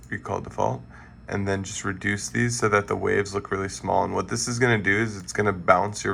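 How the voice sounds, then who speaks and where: With a bright, sharp tone and vocal fry, a man speaks at a moderate pace with a fairly low pitch and lively intonation. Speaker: music production tutor. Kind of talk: tutorial. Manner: casual, halting with fillers.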